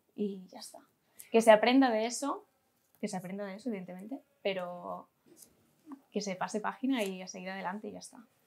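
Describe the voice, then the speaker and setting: Using an ordinary speaking voice, a woman of medium pitch talks at a fairly quick pace with fairly even intonation. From Catalonia, Spain. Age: 20s. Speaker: amateur basketball player. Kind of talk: interview. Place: office.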